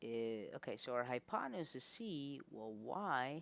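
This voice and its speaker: A man talks quietly at a very slow pace. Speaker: math tutor. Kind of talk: casual tutorial explanation. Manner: quiet, low volume.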